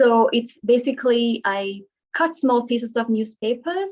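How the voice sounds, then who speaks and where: Her voice is high-pitched, with a Tamil accent, lively intonation and a fairly slow pace. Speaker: art therapist. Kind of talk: webinar presentation.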